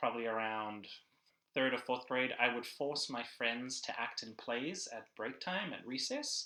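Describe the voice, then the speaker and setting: With a South African accent, this voice has a bright, sharp tone, a moderate pace and ordinary pitch variation. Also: man. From South Africa, Cape Town. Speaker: church production director and filmmaker. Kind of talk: casual interview.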